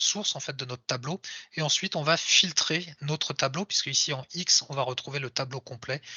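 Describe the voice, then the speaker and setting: At a fairly quick pace, a man speaks with fairly high pitch and ordinary pitch variation. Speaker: software developer giving a tech talk. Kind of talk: live coding talk. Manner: fast; casual with hesitations.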